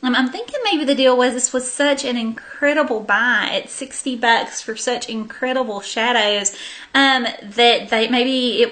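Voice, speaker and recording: Noticeable background noise is present throughout. The speaker keeps a moderate pace and ordinary pitch variation. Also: woman. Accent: Southern US. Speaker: beauty vlogger. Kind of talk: casual haul video monologue. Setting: sitting on the floor at home.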